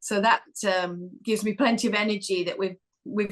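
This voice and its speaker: A woman speaks at a moderate pace in a northern English accent, her pitch fairly high with ordinary variation. Her tone is bright and sharp. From northern England. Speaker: corporate sustainability executive. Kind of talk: podcast interview.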